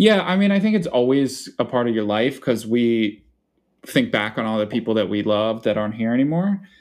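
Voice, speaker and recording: Speaking at a fairly quick pace, a man with a Philadelphia accent uses lively intonation at a medium pitch. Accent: Philadelphia-area American. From Philadelphia suburbs, Pennsylvania. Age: 20s. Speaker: writer. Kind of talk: casual interview.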